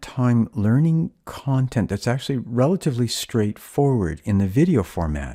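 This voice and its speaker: A man with a Canadian accent speaks at a moderate pace in a dark, mellow tone. His pitch swings very widely, and the recording is very clean with a silent background. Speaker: chemistry instructor. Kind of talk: tutorial.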